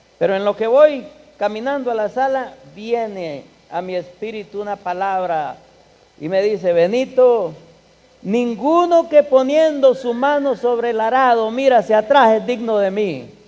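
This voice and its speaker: Speaking at a fairly slow pace, a man with an extremely high pitch uses lively intonation. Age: 60s. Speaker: guest speaker at a church. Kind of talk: church conference talk. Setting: church.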